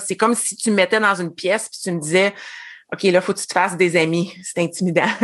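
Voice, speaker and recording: At a moderate pace and medium pitch, a woman speaks in an unremarkable speaking voice with ordinary pitch variation against a quiet background. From Quebec. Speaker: former education consultant, network marketer. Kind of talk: casual interview.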